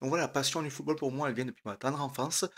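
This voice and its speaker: This man has a medium pitch and speaks with a southern French accent. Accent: southern French, somewhat folksy. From southern France, Aveyron (Rodez). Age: 30s. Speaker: trainee radio host. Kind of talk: audition pitch to camera. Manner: hesitant, many fillers.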